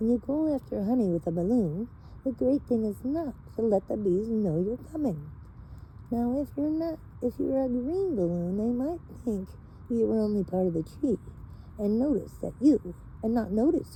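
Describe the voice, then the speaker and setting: In a put-on character voice pitched fairly high, a woman talks at a moderate pace with long, frequent pauses and clear background noise. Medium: read story. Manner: earnest, slow and thoughtful.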